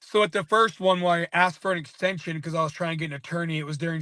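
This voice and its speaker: A loud man, very fast in pace, high in pitch and bright and sharp in tone, against a quiet background. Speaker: local activist. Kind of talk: casual interview on livestream. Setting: live stream.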